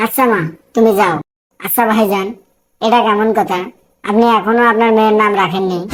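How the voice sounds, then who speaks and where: Using a cartoonish character voice, a woman speaks at a fairly high pitch with very even loudness and fairly even intonation. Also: moderate pace. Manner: glib, rhyming banter.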